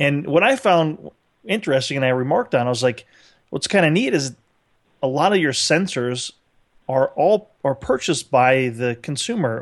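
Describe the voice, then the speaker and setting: This is an ordinary speaking voice of a man with a fairly high pitch and lively intonation. He keeps a moderate pace over a quiet background. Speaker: podcast co-host. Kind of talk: casual interview chat. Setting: remote call.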